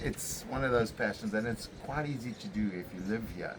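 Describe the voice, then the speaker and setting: A man in a plain, everyday voice at a moderate pace, with ordinary pitch variation. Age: 60s. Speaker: fishing charter boat captain. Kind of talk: casual interview. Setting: on location in St Francis Bay.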